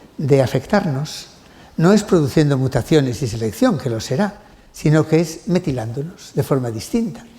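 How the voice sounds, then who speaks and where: Noticeable background noise behind a man's fairly high voice, moderate in pace and lively in intonation. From Spain. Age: 60s. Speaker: genetics professor. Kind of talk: lecture. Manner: halting; animated.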